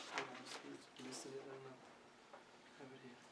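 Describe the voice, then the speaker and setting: Recorded with audible room echo and noticeable background noise, a man speaks with a non-native accent. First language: Vietnamese. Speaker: Buddhist monk teacher. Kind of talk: dharma talk. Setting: monastery. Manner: halting.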